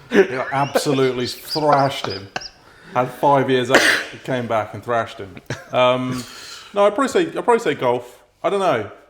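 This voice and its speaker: Over noticeable background noise, a man with a Norfolk accent speaks at a medium pitch with lively intonation and big swings in loudness. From Norfolk, England. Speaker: podcast co-host. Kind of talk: casual chat.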